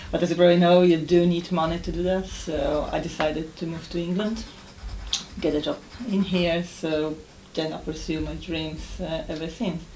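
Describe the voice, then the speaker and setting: There is audible room echo as a woman speaks in a fairly low pitch. Her intonation stays fairly even. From Poland. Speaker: ESOL exam candidate. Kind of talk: spoken exam presentation.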